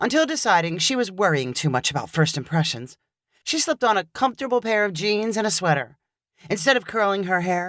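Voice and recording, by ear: Someone is reading aloud in a natural voice with lively intonation. The background is quiet.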